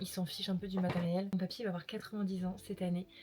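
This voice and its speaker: A woman's very fast, medium-pitched monotone over noticeable background noise. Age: 20s. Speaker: lifestyle vlogger. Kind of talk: casual vlog haul. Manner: casual, filler-heavy; whispering at times.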